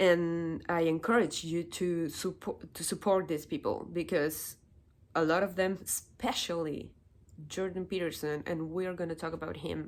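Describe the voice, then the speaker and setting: The recording is very clean, with a silent background. A woman talks in a Spanish accent. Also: fairly low pitch for a woman, moderate pace. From Chile. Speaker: political commentary youtuber. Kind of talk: opinion monologue. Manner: halting, repeats words.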